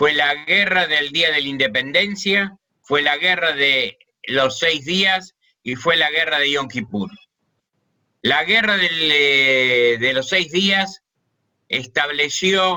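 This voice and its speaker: Very slow speech from a man with a fairly high pitch. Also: ordinary pitch variation. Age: 70s. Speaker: war veteran. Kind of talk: testimony. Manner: halting.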